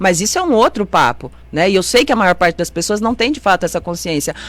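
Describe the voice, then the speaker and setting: The speaker uses an animated tone with very wide pitch swings, and there is noticeable background noise. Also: woman. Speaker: city councillor. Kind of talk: radio interview. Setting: radio studio, also streamed on Facebook. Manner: fast.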